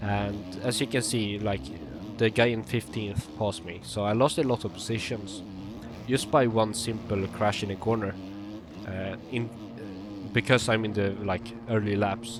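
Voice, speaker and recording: A man with a Swedish accent, fairly low pitch and ordinary pitch variation. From Sweden. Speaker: sim racing gamer and coach. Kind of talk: gameplay commentary tutorial. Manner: hesitant, many fillers.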